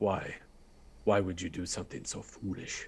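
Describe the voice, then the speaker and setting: A man does a put-on character voice. It is very deep and low in pitch, at a moderate pace. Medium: actual play. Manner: low, secretive, blunt.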